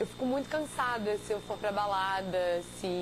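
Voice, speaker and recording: The woman's voice holds a medium pitch that varies in an ordinary way. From Rio de Janeiro, Brazil. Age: 20s. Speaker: competitive swimmer. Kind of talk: interview.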